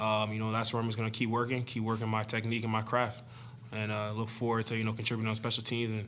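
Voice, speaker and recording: A man with a medium-pitched voice speaks at a very fast pace, with audible room echo. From Canada. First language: French. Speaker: football player. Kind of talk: press conference. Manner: many filler words (uh, you know).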